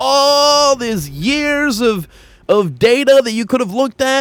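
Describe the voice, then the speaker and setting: A loud, shouting man with an extremely high pitch, lively intonation and a fairly slow pace. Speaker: gaming streamer. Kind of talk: gaming livestream rant. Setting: livestream. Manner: loud, yelling.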